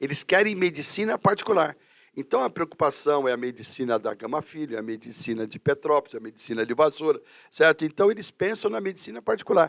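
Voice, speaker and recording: In a dry, close sound with no echo, a man with a fairly high pitch races along at a very fast pace with very wide pitch swings. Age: 60s. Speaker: teacher and career counselor. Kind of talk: casual interview chat.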